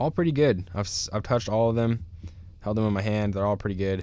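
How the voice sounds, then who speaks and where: In an American accent, a man speaks with a dark, mellow tone, fairly low pitch and fairly even intonation. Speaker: disc golf podcast host. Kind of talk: casual chat. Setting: studio.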